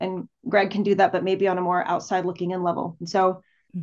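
A woman with an American accent speaks at a fairly quick pace in a medium pitch, with an unremarkable speaking voice. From El Paso, Texas. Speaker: singer-songwriter. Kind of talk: casual interview conversation.

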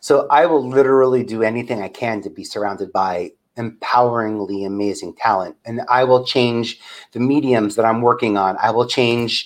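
With an American accent, this is a normal speaking voice at a moderate pace, with ordinary pitch variation. The background is quiet. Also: man, medium pitch for a man. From New York, Staten Island. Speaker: media producer and talent developer. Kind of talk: interview.

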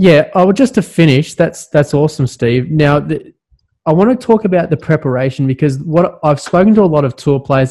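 A man speaks at a moderate pace in a somewhat breathy, fairly high voice with a dark, mellow tone and ordinary pitch variation. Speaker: podcast host. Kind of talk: casual interview chat.

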